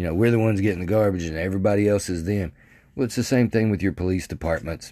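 A man with an American accent has a very deep, low pitch and lively intonation. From Arkansas (Mandeville, near Texarkana). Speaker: podcaster. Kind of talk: casual monologue. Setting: bedroom. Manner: halting, many fillers and restarts.

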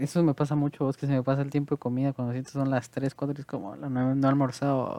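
The speech rushes along at a very fast pace with hardly any pauses. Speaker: podcast host. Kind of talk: casual chat. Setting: video call.

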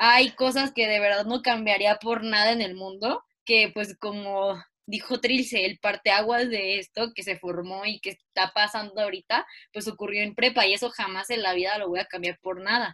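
A woman talks at a moderate pace with fairly even intonation. Her medium-pitched voice has a bright, sharp tone. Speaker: student podcast co-host. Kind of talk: casual chat.

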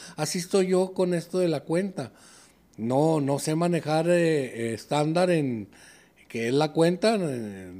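Recorded very cleanly against a silent background, a man with a fairly high pitch and a dark, mellow tone speaks with ordinary pitch variation. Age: 60s. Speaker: sports bettor. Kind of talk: casual chat.

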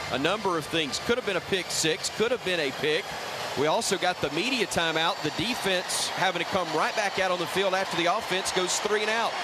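A man speaks at a high pitch and a fairly quick pace, with ordinary pitch variation. Noticeable background noise runs under his voice. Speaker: radio sideline or studio host. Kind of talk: live commentary.

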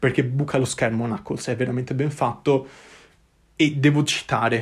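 Somewhat breathy, a man talks at a fairly quick pace with a medium pitch. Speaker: podcast host. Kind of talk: solo film review monologue. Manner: halting, many fillers and repetitions.

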